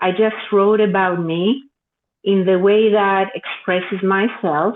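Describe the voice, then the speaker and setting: A woman with a Greek accent talks at a very slow pace with a medium pitch. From Greece. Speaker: author. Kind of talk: interview.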